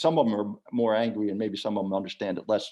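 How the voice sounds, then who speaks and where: The speech moves at a very fast pace. It carries an American accent. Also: man. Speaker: former diplomat. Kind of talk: Q&A at online book launch. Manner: halting.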